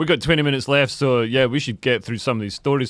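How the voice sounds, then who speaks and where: A man with a south-west Scottish accent talks very fast at a fairly high pitch, his pitch varying in an ordinary way. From Scotland, Dumfries. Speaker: comedian and podcast host. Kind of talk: casual chat.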